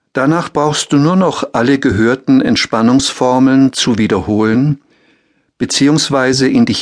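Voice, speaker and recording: At a medium pitch, a man with an unremarkable speaking voice talks at a fairly slow pace with ordinary pitch variation. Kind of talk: guided meditation. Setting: audiobook with relaxation music. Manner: very slow, calm, soothing, repeating formulas with long pauses.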